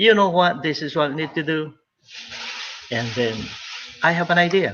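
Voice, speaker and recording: A man with a fairly high pitch speaks with vocal fry. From Philippines. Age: 60s. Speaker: retired nurse, business recruiter. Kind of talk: interview.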